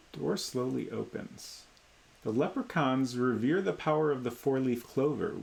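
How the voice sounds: The speaker reads in a natural reading voice.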